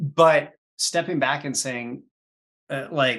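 With a normal speaking voice, a man talks at a fairly high pitch with ordinary pitch variation. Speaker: podcast host. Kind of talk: casual interview.

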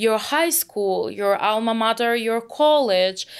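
This woman's voice sits at a fairly high pitch. She speaks at a fairly slow pace. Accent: Russian. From Russia, Moscow. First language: Russian. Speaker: product manager in logistics tech. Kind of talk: podcast interview.

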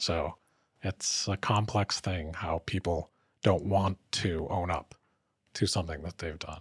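On a very clean recording with a silent background, a man with a very deep, low, somewhat breathy voice speaks at a fairly slow pace with fairly even intonation, the sound dry and close with no echo. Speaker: podcast host. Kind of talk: interview, warm conversational.

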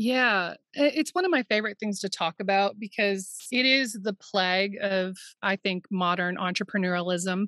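In a very clean recording with a silent background, a woman at medium pitch with ordinary pitch variation has a bright, sharp tone and a dry, close sound with no echo. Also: moderate pace. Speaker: therapist and business coach. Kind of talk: casual interview chat.

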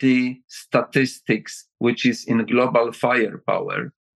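A man with a Polish accent at a fairly slow pace, in dry, close sound with no echo. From Poland. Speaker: retired general and defense adviser. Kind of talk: interview answers.

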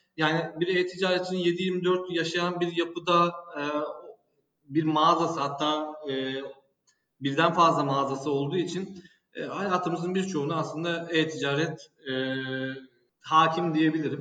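With a flat, monotone delivery and a high pitch, a man speaks at a fairly slow pace amid audible room echo. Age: 30s. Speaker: e-commerce director. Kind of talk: casual interview.

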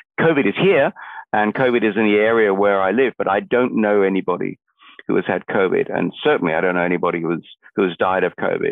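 A man with an Australian accent talks very fast in a fairly low voice. His loudness stays very even, with ordinary pitch variation. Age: 60s. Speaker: think tank researcher. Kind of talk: interview. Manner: hesitant with fillers.

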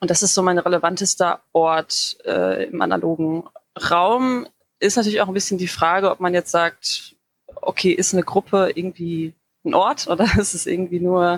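A woman's normal speaking voice, medium pitch, moderate pace, dry and close with no echo. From Dortmund, Ruhr area, Germany. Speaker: community group founder. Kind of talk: interview conversation.

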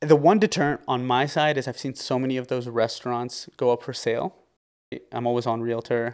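A man speaks in a normal speaking voice at medium pitch and a fairly quick pace with ordinary pitch variation, in a very clean recording with a silent background. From Canada, Windsor, Ontario. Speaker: restaurant owner. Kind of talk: interview. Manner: frequent filler words.

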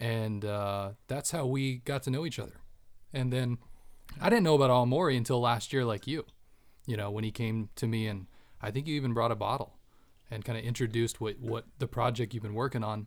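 A man with an ordinary speaking voice, medium pitch and fairly even intonation, at a fairly quick pace. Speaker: designer. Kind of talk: casual chat. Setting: studio.

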